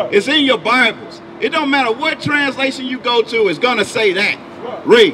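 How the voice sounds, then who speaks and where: A man uses a raised, projected voice at an extremely high pitch, with an animated tone and very wide pitch swings, speaking at a moderate pace over light background noise. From Memphis, Tennessee; Tennessee. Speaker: street preacher. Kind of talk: street preaching with scripture reading. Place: street. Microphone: handheld.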